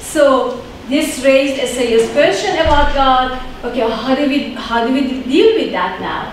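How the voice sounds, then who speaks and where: Speech at a fairly slow pace comes with noticeable background noise and audible room echo. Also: woman, high pitch for a woman, ordinary pitch variation. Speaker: conference speaker on Islamic theology. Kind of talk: conference lecture. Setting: conference talk. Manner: hesitant with fillers.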